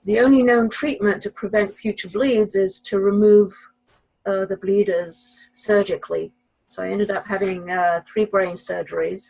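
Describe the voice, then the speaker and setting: With an English accent, a woman speaks at a medium pitch using fairly even intonation. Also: moderate pace. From Israel. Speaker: mathematician and professor. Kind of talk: podcast interview.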